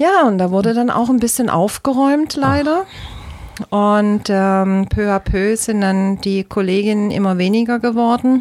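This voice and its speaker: A woman talks at a very slow pace. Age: 50s. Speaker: former shop owner. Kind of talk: radio interview. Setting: radio studio.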